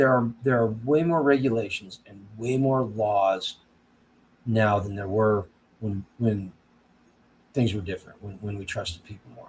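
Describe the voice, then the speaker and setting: A man, somewhat breathy, at a fairly slow pace with long, frequent pauses and big swings in loudness. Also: medium pitch for a man, ordinary pitch variation. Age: 50s. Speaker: homesteading livestream host. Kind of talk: casual live-stream chat. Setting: live stream. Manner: halting, frequent repetitions.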